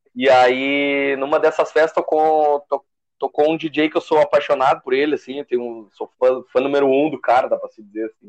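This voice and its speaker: At a moderate pace, a man with fairly high pitch speaks with fairly even intonation but big swings in loudness. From southern Brazil, Gravataí. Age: 20s. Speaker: DJ. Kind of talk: casual chat.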